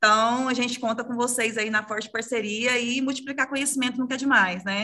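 Against a quiet background, a woman talks at a fairly quick pace in a bright, sharp tone with monotone, flat intonation. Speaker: career consultant, promoting courses; sales representative for course. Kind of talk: short promo. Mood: friendly, smiling. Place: home room. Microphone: video call.

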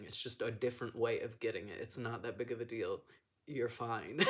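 The background is quiet as a man talks at a moderate pace. His pitch varies in an ordinary way. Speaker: vlogger. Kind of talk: casual vlog chat. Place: home room. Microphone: phone near.

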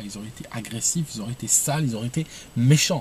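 A man's voice comes through dry, with no echo and light background noise. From Algeria. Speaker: video blogger giving opinions. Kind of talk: opinionated monologue to camera. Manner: hesitant, repeats words. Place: car. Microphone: phone near.

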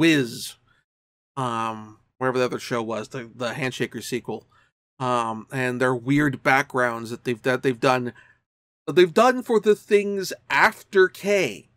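Against a quiet background, a man talks fairly slowly with lively intonation. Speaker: anime reviewer vlogger. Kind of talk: casual vlog commentary. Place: home room. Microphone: webcam.

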